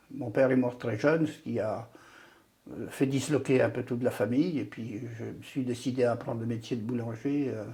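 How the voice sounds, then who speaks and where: Speaking at a moderate pace and medium pitch, a man has a dark, mellow tone with vocal fry and fairly even intonation. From Brittany, Côtes-d'Armor. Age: 80s+. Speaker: retired trade unionist. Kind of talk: oral history interview. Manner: hesitant, repeats words.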